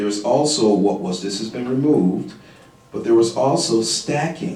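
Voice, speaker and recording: With noticeable background noise and audible room echo, a man speaks at a fairly low pitch with ordinary pitch variation. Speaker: panel expert on criminal justice. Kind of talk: panel discussion. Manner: quiet; halting, many fillers.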